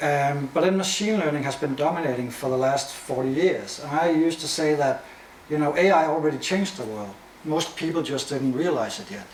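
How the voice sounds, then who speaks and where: A man with a Danish accent speaks at a fairly high pitch with ordinary pitch variation. Audible room echo and noticeable background noise fill the recording. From Denmark. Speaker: AI and media expert, presenter. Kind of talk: lecture. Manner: fast.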